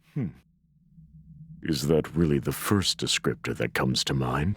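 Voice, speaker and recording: In a put-on character voice, a man talks at a moderate pace with a very deep, low pitch. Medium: game stream. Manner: calm, condescending.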